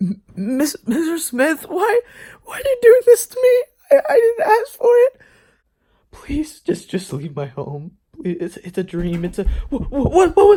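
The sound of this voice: A man's put-on character voice, extremely high in pitch, with very wide pitch swings, a dark, mellow tone and a fairly slow pace.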